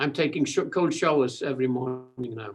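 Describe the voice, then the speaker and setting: A man's fairly high, somewhat breathy voice at a moderate pace with ordinary pitch variation. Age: 80s+. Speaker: interviewer guest. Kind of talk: casual chat. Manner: halting, repeating words.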